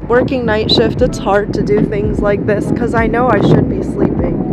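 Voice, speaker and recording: Loud background noise with a dry sound with no echo. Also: woman. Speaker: truck driver vlogger. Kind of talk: casual vlog chat. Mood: happy, relaxed. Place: open country. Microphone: phone near.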